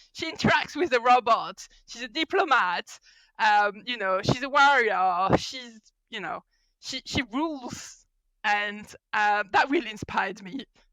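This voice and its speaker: With a French accent, a woman speaks at a fairly high pitch and fairly slow pace, her bright, sharp tone marked by lively intonation and big swings in loudness in a dry, close sound with no echo. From France. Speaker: mechanical engineer and mentoring consultant. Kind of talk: podcast interview. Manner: animated.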